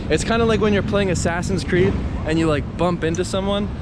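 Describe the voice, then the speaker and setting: A man mumbles at a fairly quick pace with very wide pitch swings, heard with audible room echo and noticeable background noise. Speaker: street photographer vlogger. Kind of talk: casual vlog rant. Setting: outdoors on city street. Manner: mumbling.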